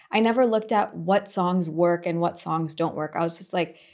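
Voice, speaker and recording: In an American accent, a woman with a plain, everyday voice speaks at a fairly low pitch and a moderate pace with fairly even intonation. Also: very clean recording, silent background. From USA, Indian family. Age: 20s. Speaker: musician and former influencer. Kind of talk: casual chat.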